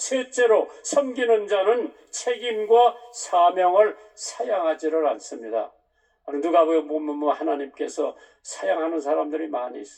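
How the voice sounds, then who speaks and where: Speaking very slowly, a man with a high pitch makes very wide pitch swings and big swings in loudness. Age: 80s+. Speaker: pastor. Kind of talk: Sunday sermon.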